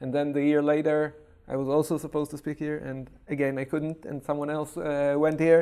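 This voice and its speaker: A man with a fairly high, dark, mellow voice speaks at a fairly quick pace in a monotone, flat intonation. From Israel. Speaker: data security scientist. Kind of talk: interview. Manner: halting.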